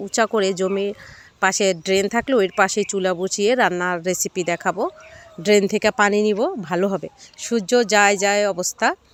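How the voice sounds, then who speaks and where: A woman speaks at a medium pitch with fairly even intonation. The sound is dry and close with no echo, and there is noticeable background noise. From Bangladesh, Shariatpur. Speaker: cooking vlogger. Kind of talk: vlog narration. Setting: outdoors.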